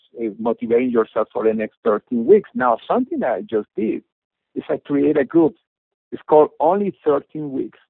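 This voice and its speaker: A man speaks in a fairly high voice at a moderate pace. His pitch swings very widely. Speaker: network marketing company founder. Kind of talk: business presentation webinar. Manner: halting, many fillers.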